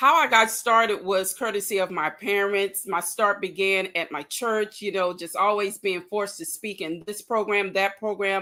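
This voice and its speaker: At a moderate pace, a woman speaks in a bright, sharp tone with fairly even intonation. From Louisiana. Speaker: diversity and inclusion practitioner, speaker. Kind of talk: interview.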